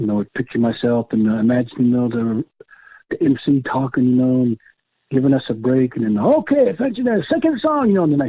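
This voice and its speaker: This is an ordinary speaking voice from a man at medium pitch. He talks at a fairly quick pace with ordinary pitch variation. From Oklahoma. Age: 60s. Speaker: powwow fancy dancer. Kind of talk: casual interview. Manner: frequent fillers, repetitions.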